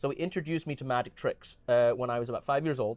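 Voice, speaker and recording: In an American accent, a man speaks in a fairly high voice with an animated tone and ordinary pitch variation. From Glasgow, Scotland and Southern California. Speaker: magician. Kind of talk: casual interview. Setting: aboard a cruise ship. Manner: animated, many fillers.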